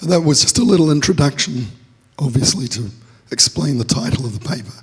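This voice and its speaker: Amid noticeable background noise, a man at medium pitch moves at a fairly quick pace, with very wide pitch swings, big swings in loudness and long, frequent pauses. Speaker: security researcher presenting at conference. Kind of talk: conference talk. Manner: halting, filler-heavy.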